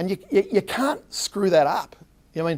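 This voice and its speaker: Speaking at a fairly quick pace with an Australian accent, a man sounds animated, with ordinary pitch variation. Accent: Australian, kept after 27 years in US. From Australia, Melbourne. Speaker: tech company co-founder, marketing executive. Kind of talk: interview at public forum.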